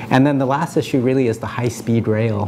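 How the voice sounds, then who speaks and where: With a Californian accent, a man speaks in a monotone, flat intonation over light background noise. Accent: General American (Californian). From US West Coast (Palo Alto, California). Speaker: city council candidate; council candidate. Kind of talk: interview. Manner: hesitant, many fillers. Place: meeting room. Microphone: lapel.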